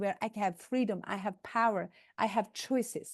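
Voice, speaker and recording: Someone with a non-native accent speaks at a moderate pace with ordinary pitch variation against a quiet background. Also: woman. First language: not English. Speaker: motivational speaker, entrepreneur. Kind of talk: conference talk. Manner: animated.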